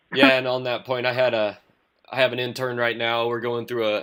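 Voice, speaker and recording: Over a silent background on a very clean recording, a man rushes along at a very fast pace in a medium pitch. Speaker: podcast host, strength coach. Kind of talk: interview. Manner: monotone.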